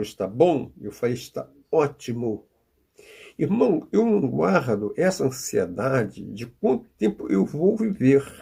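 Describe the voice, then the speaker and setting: A man speaks fairly slowly in a dark, mellow tone. His voice is somewhat breathy, with lively intonation. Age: 80s+. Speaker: preacher. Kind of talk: sermon.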